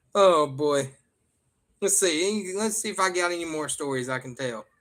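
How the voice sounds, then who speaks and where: A man speaks with a Southern US accent. His intonation is lively. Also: moderate pace. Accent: real Southern. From US South. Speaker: livestreamer. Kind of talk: casual chat. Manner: animated.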